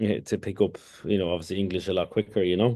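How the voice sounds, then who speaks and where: A man is speaking. He has a strong Irish accent. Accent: thick Irish. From Kurdistan, raised in Ireland from age 11 (Leitrim, then Dublin). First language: Kurdish. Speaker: former hurler and author. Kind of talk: podcast interview. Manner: halting, many fillers and restarts.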